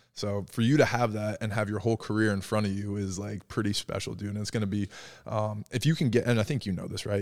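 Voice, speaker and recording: Very fast speech comes from a man with an American accent. His pitch is fairly low. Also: very clean recording, silent background. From New Jersey. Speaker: podcast host, former college baseball player. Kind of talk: casual chat.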